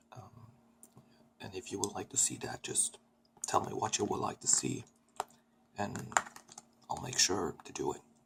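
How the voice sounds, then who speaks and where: A soft-spoken man with a soothing tone at a moderate pace, big swings in loudness and long, frequent pauses, over noticeable background noise. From Sweden. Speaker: ASMR creator. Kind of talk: ASMR eating video talk to camera. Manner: soft-spoken, soothing.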